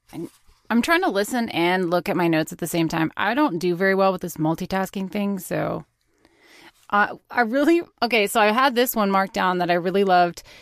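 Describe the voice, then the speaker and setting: Speaking at a fairly quick pace, a woman uses a plain, everyday voice at medium pitch with ordinary pitch variation. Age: 30s. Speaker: podcast co-host. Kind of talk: interview conversation. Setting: video call.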